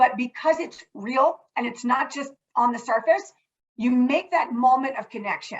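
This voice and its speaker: The speaker is loud, with ordinary pitch variation. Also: woman, high pitch for a woman. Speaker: nonprofit corporate partnerships executive. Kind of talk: panel discussion. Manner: fast.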